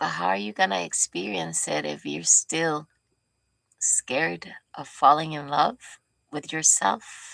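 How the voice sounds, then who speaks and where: Soft-spoken and gentle in tone, a woman talks at a fairly slow pace on a very clean recording with a silent background. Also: dry, close sound with no echo. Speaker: spiritual teacher. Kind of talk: spiritual teaching talk. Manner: gentle, heartfelt tone.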